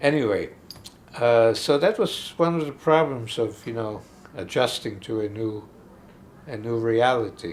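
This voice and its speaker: A man talks at a fairly slow pace with long, frequent pauses. His pitch varies in an ordinary way. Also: medium pitch for a man. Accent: German. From Austria. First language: German. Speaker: film critic and author. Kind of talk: interview. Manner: halting, many fillers.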